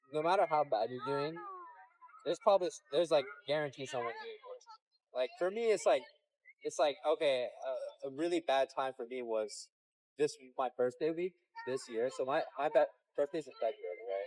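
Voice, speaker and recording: A man with an American accent speaks at a moderate pace, with long, frequent pauses and big swings in loudness. The sound is dry and close, with no echo. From Texas, Houston. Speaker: vlogger. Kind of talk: casual chat.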